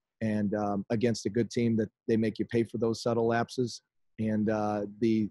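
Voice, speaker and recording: In a dry recording with no echo and a quiet background, a man speaks at a moderate pace with monotone, flat intonation. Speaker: basketball coach. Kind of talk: press conference answer. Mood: disappointed, measured. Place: home room. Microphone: video call.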